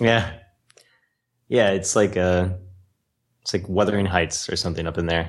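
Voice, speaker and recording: A man with a very deep, low pitch speaks at a moderate pace, with fairly even intonation and long, frequent pauses. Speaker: podcast co-host. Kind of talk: casual comedic banter with profanity.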